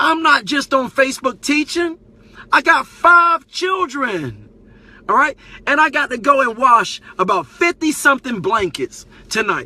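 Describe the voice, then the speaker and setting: A man with an extremely high pitch, a raised, projected voice, a bright, sharp and animated tone and lively intonation, in a dry, close sound with no echo. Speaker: Facebook live streamer and community teacher. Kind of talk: live stream monologue. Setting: live broadcast on Facebook. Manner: fast.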